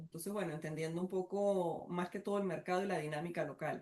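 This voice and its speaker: In an Andean Venezuelan accent, a woman with a fairly low pitch speaks in a monotone, flat way. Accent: Andean Venezuelan (gocho). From Venezuelan Andes (Táchira/Mérida). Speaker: entrepreneur. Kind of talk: casual interview.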